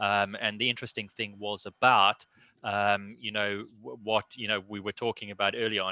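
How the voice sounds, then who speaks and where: In a British accent, a man speaks at a moderate pace with a fairly low pitch and fairly even intonation. His tone is bright and sharp, and the sound is dry and close with no echo. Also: quiet background. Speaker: NHS hospital IT and cyber head. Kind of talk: panel discussion.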